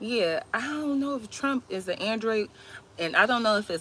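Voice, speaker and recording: A woman's bright, sharp voice, fairly high in pitch, at a moderate pace. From Georgia. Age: young. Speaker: livestream host. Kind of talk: casual livestream chat. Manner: rambling conversational, filler-heavy.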